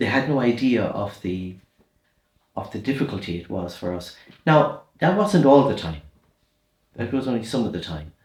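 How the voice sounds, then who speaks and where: A man at a medium pitch, somewhat breathy, at a moderate pace with very wide pitch swings and long, frequent pauses. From Ireland, rural midlands and west. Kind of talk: interview, life story.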